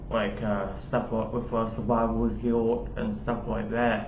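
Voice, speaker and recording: Noticeable background noise surrounds a man's voice. The room adds an audible echo. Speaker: YouTuber. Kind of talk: personal testimony. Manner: halting, many fillers.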